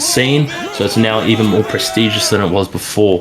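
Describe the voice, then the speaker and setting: Someone with an Australian accent speaks at a moderate pace, with music in the background and audible room echo. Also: man. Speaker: gaming community officer presenting medals. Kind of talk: awards ceremony speech. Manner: casual.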